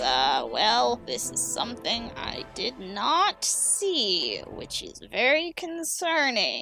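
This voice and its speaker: Clear music plays in the background as someone speaks at a very slow pace in a put-on character voice. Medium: actual play.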